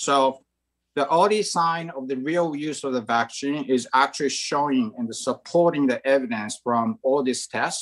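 Against a quiet background, a man with a Japanese accent speaks at a fairly slow pace in a fairly high pitch. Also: ordinary pitch variation. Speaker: bank chief risk officer; panelist. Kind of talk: panel discussion. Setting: video call. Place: home room. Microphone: video call.

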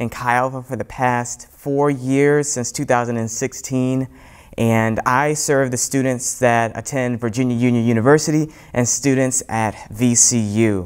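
A man speaks at a very slow pace, his intonation fairly even. The background is quiet. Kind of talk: sermon. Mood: warm, earnest. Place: church. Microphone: lapel.

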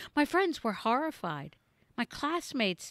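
Against a quiet background, a woman's voice swings very widely in pitch, with a dry sound and no echo. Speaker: storyteller. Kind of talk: casual storytelling vlog. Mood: playful, animated. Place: garden. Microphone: studio mic.

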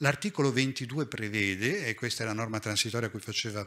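With ordinary pitch variation, the voice carries a bright, sharp tone. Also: man. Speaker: hospital nursing director; conference speaker. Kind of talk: conference talk. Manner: lively. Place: hall. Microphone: podium.

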